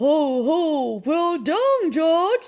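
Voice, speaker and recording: The speaker uses a put-on character voice pitched high. Its pitch swings very widely up and down. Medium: read story.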